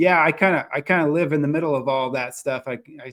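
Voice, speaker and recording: This man has an ordinary speaking voice, fairly high in pitch, with an American accent and ordinary pitch variation. The recording is very clean, with a silent background. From US Southeast. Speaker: podcast host. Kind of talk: casual interview. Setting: cabin.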